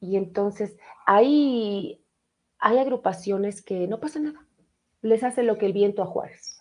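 Her tone is animated, with ordinary pitch variation. The woman speaks at a fairly slow pace, leaving long, frequent pauses. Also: fairly high pitch for a woman. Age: 40s. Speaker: radio host. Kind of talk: casual live radio chat.

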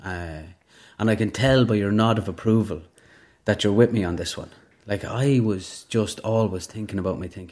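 In an Irish Midlands accent, a man with fairly low pitch and fairly even intonation talks at a moderate pace on a very clean recording with a silent background. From Ireland, rural Westmeath. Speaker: recovering alcoholic. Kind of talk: testimony.

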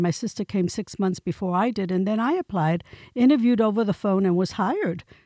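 A woman speaks fairly quickly with ordinary pitch variation, the sound dry and close with no echo and the background quiet. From New York City (Bronx), Puerto Rican family. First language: Spanish. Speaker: county commissioner. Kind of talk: interview.

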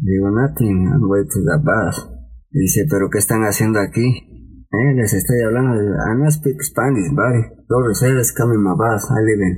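A man speaks at a fairly slow pace with a medium pitch and ordinary pitch variation. His voice is somewhat breathy and his loudness stays very even. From Mexico, Veracruz port. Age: 40s. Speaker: security guard and former migrant. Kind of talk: personal testimony in interview.

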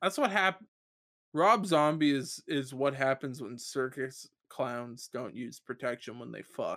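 Speaking at a fairly slow pace, a man with an unremarkable speaking voice sits fairly high in pitch, with ordinary pitch variation and big swings in loudness, on a very clean recording over a silent background. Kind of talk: raunchy stand-up style comedy riffing, crude bits and impressions. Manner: excitable, laughing at own jokes, frequently interrupted by cohosts.

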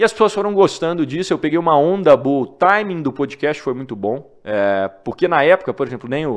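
Speaking fairly quickly with hardly any pauses, a man's fairly high voice swings very widely in pitch over a quiet background. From Minas Gerais, Brazil (Divinópolis). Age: 20s. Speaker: newsletter founder. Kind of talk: interview conversation.

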